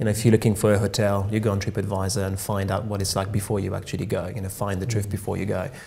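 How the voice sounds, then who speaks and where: Speaking very fast, a man with a slight French accent keeps a fairly low pitch in a monotone, flat intonation. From France. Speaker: tech company co-founder. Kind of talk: radio interview. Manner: hesitant, many fillers.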